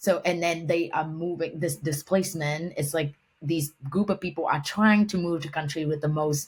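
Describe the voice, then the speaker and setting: Somewhat breathy, a woman with a Vietnamese accent speaks with fairly even intonation on a very clean recording with a silent background. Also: moderate pace. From Vietnam, Hanoi. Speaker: humanitarian and environmental professional. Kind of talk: podcast interview. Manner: halting, many fillers and restarts.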